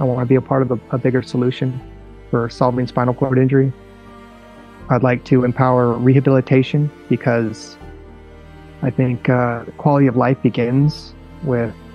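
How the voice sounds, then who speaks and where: Faint music plays behind a man speaking at a moderate pace, the sound dry with no echo. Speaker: interview guest. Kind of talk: interview answer. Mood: earnest, purposeful. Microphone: earbuds.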